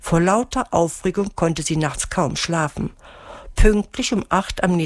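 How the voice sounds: A natural voice reading aloud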